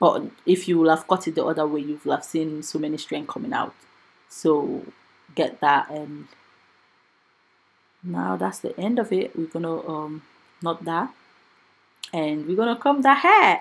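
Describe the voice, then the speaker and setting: A woman with a fairly low pitch uses lively intonation and leaves long, frequent pauses. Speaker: hair stylist and wig maker. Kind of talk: tutorial. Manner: fast.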